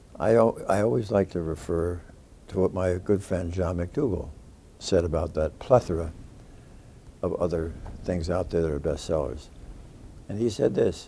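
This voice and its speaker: Somewhat breathy and dark, mellow in tone, a man's very deep, low voice moves at a moderate pace with ordinary pitch variation and long, frequent pauses over light background noise. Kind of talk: interview answer. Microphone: lapel.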